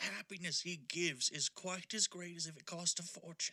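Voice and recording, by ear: Putting on a character voice, a man talks at a fairly quick pace in a high pitch.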